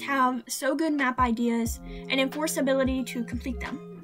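A woman talks fairly slowly as music plays clearly in the background. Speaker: digital artist and animator. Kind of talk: casual Q&A talk. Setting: laptop microphone with road background noise. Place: home room. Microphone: webcam.

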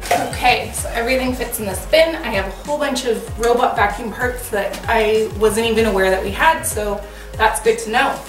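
Clear music plays in the background. A woman talks at a moderate pace. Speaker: home organizing vlogger. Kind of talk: casual vlog chat. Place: garage. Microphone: camera far.

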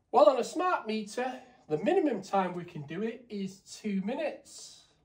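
A man's high-pitched voice with big pitch swings, moderate pace, and audible room echo

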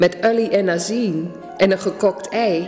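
A woman at medium pitch speaks with an Achterhoek accent and ordinary pitch variation, with audible room echo and faint music in the background. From Achterhoek, eastern Netherlands. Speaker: dialect author and reciter. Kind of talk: dialect story reading. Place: home room.

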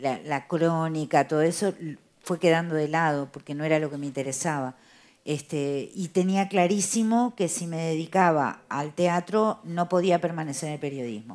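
At a fairly slow pace, a woman speaks in a fairly low pitch with ordinary pitch variation. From Uruguay, Montevideo; Uruguay. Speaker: playwright and theatre director; interviewee. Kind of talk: interview. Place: cafe. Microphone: headset.

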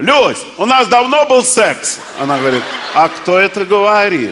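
A man talks while noticeable noise carries on in the background. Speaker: stand-up comedian. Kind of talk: comic monologue telling jokes. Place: stage. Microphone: headset.

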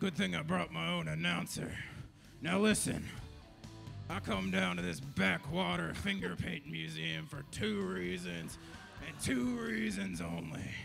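With clear music in the background, a man with a very deep, low pitch speaks fairly slowly with lively intonation. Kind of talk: pro wrestling promo trash talk. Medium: stage play. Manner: blustering, boastful, insulting.

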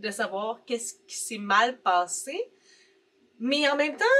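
A woman with a Quebec accent, animated, bright and sharp in tone, with very wide pitch swings. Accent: Québécois French. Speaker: booktuber. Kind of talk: casual vlog commentary; casual vlog chat. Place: home room.

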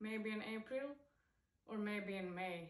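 Against a quiet background with audible room echo, a woman speaks with a Swedish accent and fairly even intonation. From Sweden. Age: 20s. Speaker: professional golfer. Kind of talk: sponsor video testimonial. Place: home room. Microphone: phone near.

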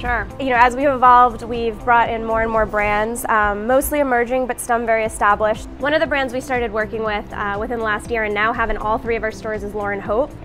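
A woman talks at a very fast pace with hardly any pauses, her intonation monotone and flat, while clear music plays in the background. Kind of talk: interview answer. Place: shop.

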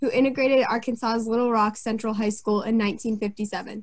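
Against a quiet background, the voice is somewhat breathy and flat, with monotone intonation. The pace is moderate. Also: woman. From US Northeast. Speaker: student co-moderator. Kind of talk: scripted introduction. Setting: video call. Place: home room. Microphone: webcam.

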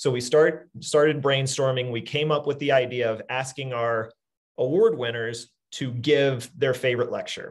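A man with a medium-pitched, somewhat breathy voice talks at a fairly quick pace over a quiet background. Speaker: webinar host. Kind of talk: casual chat. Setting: video call. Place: office. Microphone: video call.

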